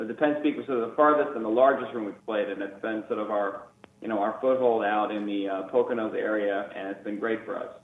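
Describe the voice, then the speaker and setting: Over noticeable background noise, a man with a New York accent talks at a very fast pace in a medium pitch, his intonation fairly even. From New York City, Queens. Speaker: band guitarist. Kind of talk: radio interview. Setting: phone call.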